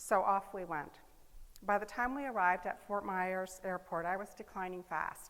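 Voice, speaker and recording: An ordinary speaking voice from a woman at medium pitch, moderate pace and fairly even intonation. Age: 60s. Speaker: public speaker, business owner. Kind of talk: inspirational talk.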